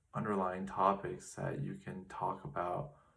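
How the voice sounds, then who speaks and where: Audible room echo surrounds a man's voice. He speaks at a fairly slow pace with lively intonation. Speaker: vlogger. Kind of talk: personal reflective monologue. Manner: slow, with pauses.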